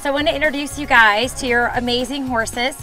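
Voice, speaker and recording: Over clear background music, a woman talks at a fairly quick pace in a raised, projected voice, her intonation fairly even and the sound dry with no echo. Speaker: guest. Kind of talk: tutorial. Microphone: lapel.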